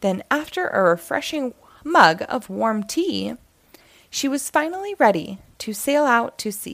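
A woman speaks at a fairly slow pace with vocal fry. Her fairly high pitch moves in big swings.

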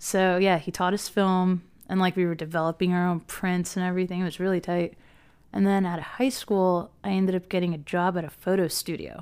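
A woman with an American accent speaks at a fairly quick pace and medium pitch. Her intonation is monotone and flat, and the recording is very clean with a silent background. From Philadelphia area, Pennsylvania. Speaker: concert photographer. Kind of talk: casual chat.

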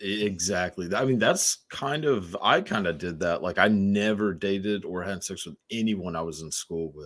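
Heard on a very clean recording with a silent background, a man with a plain, everyday voice and a fairly low pitch speaks at a moderate pace with hardly any pauses, ordinary pitch variation and big swings in loudness. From Texas. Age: 20s. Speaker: podcast host. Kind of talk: casual chat.

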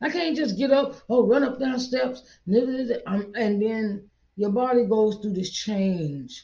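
A somewhat breathy, dark, mellow voice at a very slow pace with lively intonation and audible room echo. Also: woman, fairly high pitch for a woman. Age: 40s. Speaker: podcast preacher. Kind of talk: sermon. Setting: seated in a chair. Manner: repetitive.

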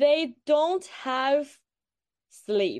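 Her pitch high and ordinarily varied, a woman speaks at a very slow pace. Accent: Chinese. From China. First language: Chinese. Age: 20s. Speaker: postgraduate student. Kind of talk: casual interview. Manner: halting, with fillers and self-corrections.

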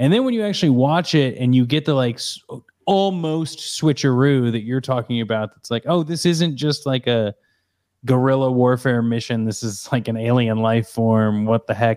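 On a very clean recording with a silent background, a man speaks at medium pitch in a plain, everyday voice with ordinary pitch variation. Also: moderate pace. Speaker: podcast host. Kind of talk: casual chat. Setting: home office.

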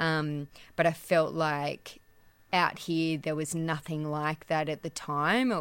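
The speaker talks at a fairly slow pace. The recording is very clean, with a silent background. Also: woman. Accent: Australian. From Australia, central west New South Wales. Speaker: business owner. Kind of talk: interview. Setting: back room of a shop.

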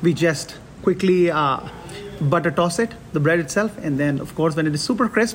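A man with a high voice talks at a moderate pace. His pitch varies in an ordinary way, and there is noticeable background noise. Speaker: executive chef. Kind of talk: casual interview. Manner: halting, repeats words.

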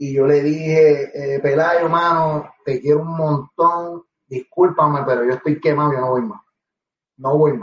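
A man with a Puerto Rican accent, somewhat breathy and fairly high-pitched, at a fairly slow pace with ordinary pitch variation. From Puerto Rico, Guaynabo. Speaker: professional wrestler and reggaeton artist. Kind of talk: interview.

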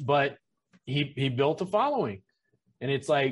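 A man speaks at a moderate pace. His intonation is lively, and the background is quiet. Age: 40s. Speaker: massage educator and business consultant. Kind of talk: casual chat.

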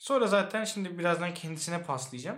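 Audible room echo surrounds a man speaking at a high pitch with ordinary pitch variation. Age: 20s. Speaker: podcast co-host. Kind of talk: casual chat.

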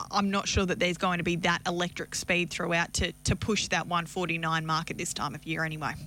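A woman with an Australian accent speaks at a fairly quick pace, with hardly any pauses. Her tone is bright and sharp, and her intonation stays fairly even. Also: fairly low pitch for a woman. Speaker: harness racing analyst. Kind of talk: radio interview. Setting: radio studio.

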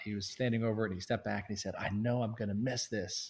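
A fairly low, somewhat breathy male voice with an American accent and fairly even intonation, over a quiet background. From North Carolina. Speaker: app founder. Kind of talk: casual interview.

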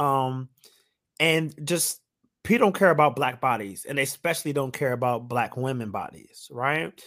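A man with an ordinary speaking voice, fairly high pitch and ordinary pitch variation at a moderate pace, in a very clean recording with a silent background. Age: 30s. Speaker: podcast host. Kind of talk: casual chat.

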